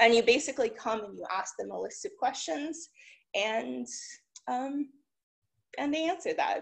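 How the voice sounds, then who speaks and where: The background is quiet as a woman talks at a moderate pace. She takes long, frequent pauses, and her loudness swings a lot. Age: 30s. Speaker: tech entrepreneur. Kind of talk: conference talk. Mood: encouraging, relaxed. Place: home room. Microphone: webcam.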